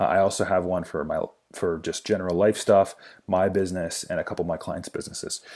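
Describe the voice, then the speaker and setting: A man talking at a very fast pace on a very clean recording with a silent background. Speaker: business productivity vlogger. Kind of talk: tutorial.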